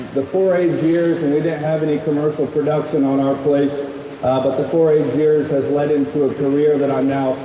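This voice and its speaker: A man's fairly high, monotone voice with a Midwestern US accent, fairly quick and very even in loudness, amid audible room echo and noticeable background noise. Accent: US Midwest. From Nebraska. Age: 20s. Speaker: livestock show judge. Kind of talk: public address to show audience. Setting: livestock show arena. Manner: halting with many fillers.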